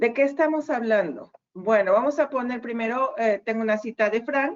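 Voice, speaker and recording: This is an unremarkable speaking voice. The pace is fairly slow. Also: woman. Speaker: university lecturer. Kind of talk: online lecture. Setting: video call.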